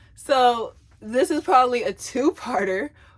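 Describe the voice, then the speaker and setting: A loud woman with an American accent, high pitch and lively intonation. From US South. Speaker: vlogger. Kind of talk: casual chat. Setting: at home. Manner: talkative, chatty.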